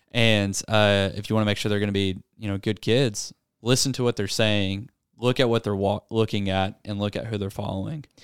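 Speaking with a Southern US accent, a man talks at a fairly quick pace in a fairly low pitch, on a very clean recording with a silent background and a dry, close sound with no echo. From US South, Arkansas. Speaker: youth pastor. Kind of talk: casual chat. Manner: animated.

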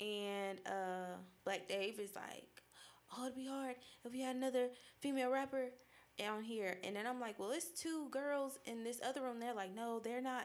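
A woman with an American accent speaks at a moderate pace in a high voice, her pitch varying in an ordinary way. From Boston, Massachusetts (Dorchester). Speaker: rapper and fashion designer. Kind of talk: casual chat. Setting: studio.

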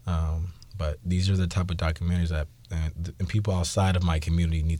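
In a very clean recording with a silent background, a man with an American accent talks at a very fast pace, his very deep, low voice dark, mellow, somewhat breathy and monotone with flat intonation. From Seattle, US Pacific Northwest. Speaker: school IT technology specialist. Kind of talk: interview. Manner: halting, many fillers.

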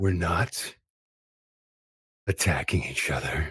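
A man puts on a character voice that is raspy and rumbling, with a very deep, low pitch. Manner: calm, authoritative, calming a crowd.

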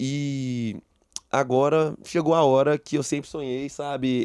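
A man with a dark, mellow tone and medium pitch talks with fairly even intonation, recorded dry and close with no echo against a quiet background. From Brazil, Belo Horizonte (Minas Gerais). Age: 20s. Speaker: taekwondo athlete. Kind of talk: interview.

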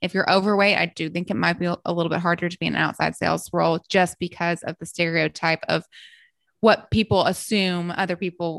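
A woman talks in a Southern US accent at a fairly low pitch. The sound is dry and close with no echo, over a quiet background. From US South, Memphis, Tennessee. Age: 30s. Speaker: health coach. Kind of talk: casual chat.

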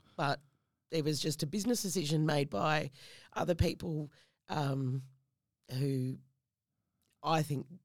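A woman with a very deep, low voice speaks at a fairly slow pace, with ordinary pitch variation and long, frequent pauses. The recording is very clean, with a silent background. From New Zealand. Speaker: radio announcer and public speaking coach. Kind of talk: casual interview chat. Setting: studio.

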